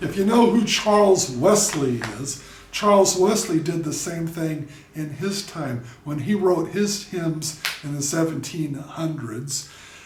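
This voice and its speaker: In a room with audible echo and noticeable background noise, a man with a high pitch speaks at a fairly slow pace with ordinary pitch variation. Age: 60s. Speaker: YouTuber and drummer. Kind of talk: commentary monologue. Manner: casual, with filler words.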